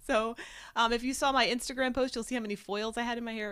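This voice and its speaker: A woman talks very fast and loud at a high pitch. Her tone is bright and sharp. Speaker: vlogger and live show co-host. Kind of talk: casual chat. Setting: live stream.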